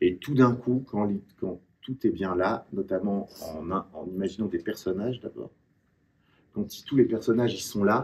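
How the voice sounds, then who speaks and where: A man's medium-pitched voice moves along at a fairly slow pace. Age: 60s. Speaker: writer. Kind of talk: author talk with students. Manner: hesitant, many fillers.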